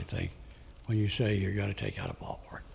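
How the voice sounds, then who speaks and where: Audible room echo surrounds the speech. A man with an American accent talks at a fairly quick pace. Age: 80s+. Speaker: public commenter, Marine veteran. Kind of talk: public comment at council meeting.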